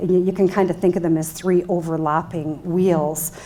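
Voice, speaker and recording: A woman speaks in a dark, mellow tone. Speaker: bank executive, keynote speaker. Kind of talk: keynote speech. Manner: loud. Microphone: microphone cutting in and out.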